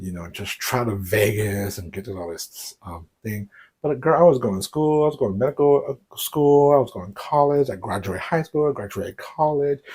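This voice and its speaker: With an American accent, a man of medium pitch talks at a fairly quick pace, his somewhat breathy voice showing lively intonation and big swings in loudness. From US South, Houston, Texas. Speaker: YouTuber. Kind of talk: casual vlog.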